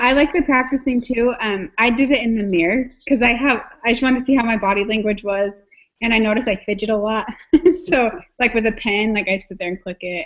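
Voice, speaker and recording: Her pitch fairly high for a woman, she talks at a fairly quick pace with ordinary pitch variation. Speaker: student. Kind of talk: online group meeting. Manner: fast.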